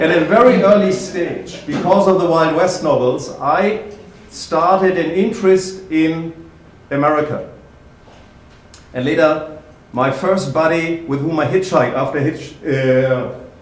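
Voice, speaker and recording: A man with a German accent speaks at a fairly slow pace in a high voice, his pitch varying in an ordinary way amid audible room echo. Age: 50s. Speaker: historian and lecturer. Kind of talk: public talk. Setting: library event with audience.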